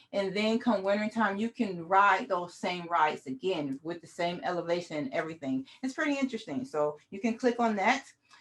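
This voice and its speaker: Her pitch swings very widely as a woman of medium pitch talks at a fairly quick pace with hardly any pauses. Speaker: cycling advocacy outreach manager, workshop presenter; presenter. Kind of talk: online workshop presentation. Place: home room. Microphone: webcam.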